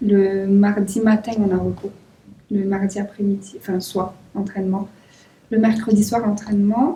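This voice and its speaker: A woman with a southwestern French accent and a medium pitch speaks at a fairly slow pace with long, frequent pauses. Her tone is dark, mellow and somewhat breathy, with monotone, flat intonation. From southwest France, Toulouse. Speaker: volleyball player. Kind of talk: interview. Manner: casual.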